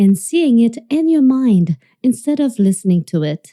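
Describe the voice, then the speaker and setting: With a French accent, a woman speaks in a somewhat breathy, dark, mellow tone with very wide pitch swings, the sound dry and close with no echo. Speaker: singing teacher. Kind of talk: online masterclass presentation.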